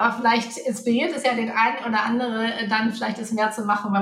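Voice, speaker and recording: Amid noticeable background noise and audible room echo, a woman speaks fairly quickly at a fairly high pitch with fairly even intonation. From Hamburg, northern Germany. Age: 30s. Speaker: finance coach. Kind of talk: interview.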